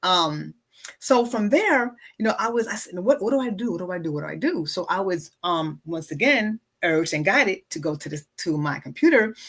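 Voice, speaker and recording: Her tone bright and sharp, a woman speaks at a medium pitch and moderate pace with lively intonation. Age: 60s. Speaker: wellness coach and podcast host. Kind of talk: casual livestream talk.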